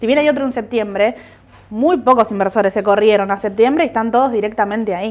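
This woman talks very fast. Her pitch sits fairly high. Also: ordinary pitch variation. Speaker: market analyst co-host. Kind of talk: market commentary livestream.

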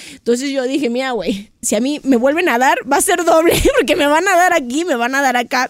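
A woman with a Mexican accent talks at a fairly quick pace with hardly any pauses. Her high voice has lively intonation and an animated tone. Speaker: podcast host. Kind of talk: casual chat.

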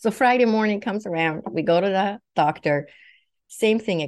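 Against a quiet background, a woman with a Swedish accent speaks at a moderate pace with ordinary pitch variation. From Sweden. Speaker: naturopathic doctor, psychic medium. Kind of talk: personal testimony.

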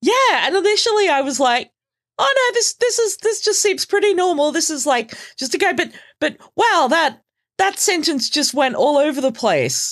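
The speaker has an Australian accent and talks at a moderate pace. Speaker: podcaster. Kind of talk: casual chat.

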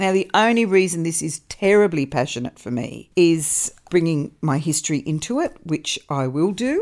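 In an ordinary speaking voice, a woman talks at a fairly slow pace and fairly low pitch with lively intonation, on a very clean recording with a silent background. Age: 50s. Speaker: podcast host on mindset and wellbeing. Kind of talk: solo motivational talk. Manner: warm, conversational.

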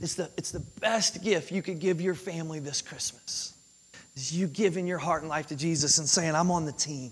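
A man with a high pitch speaks at a moderate pace. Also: ordinary pitch variation. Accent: Kentucky. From Kentucky, US. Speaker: pastor. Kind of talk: sermon. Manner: animated, conversational with frequent repetitions.

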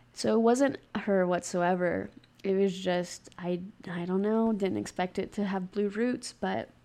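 A woman with a Southern US accent has a dark, mellow tone at a medium pitch. She talks at a fairly slow pace with ordinary pitch variation. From US South, Mississippi Gulf Coast. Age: 20s. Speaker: hairstylist and podcaster. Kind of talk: casual monologue.

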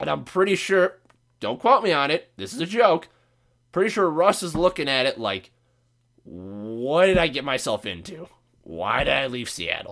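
A man's fairly high voice with vocal fry and very wide pitch swings, at a moderate pace, on a very clean recording with a silent background. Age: 20s. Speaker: sports and betting podcast host. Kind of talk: casual monologue. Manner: casual, profane.

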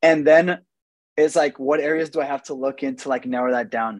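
A man uses an ordinary speaking voice at a fairly high pitch and a moderate pace. His intonation is fairly even, and the sound is dry and close with no echo. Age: 20s. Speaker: real estate agent and investor. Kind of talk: casual chat.

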